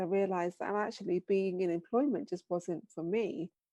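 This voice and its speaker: Recorded dry and close with no echo against a quiet background, a woman speaks in a British accent at a medium pitch with a dark, mellow tone. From England. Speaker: business founder. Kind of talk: podcast interview.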